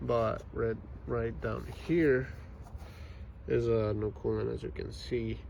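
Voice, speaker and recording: A man's very deep, low, somewhat breathy voice with very wide pitch swings, at a very slow pace with long, frequent pauses, amid audible room echo. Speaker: car mechanic video maker. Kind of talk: tutorial. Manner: hesitant with many fillers.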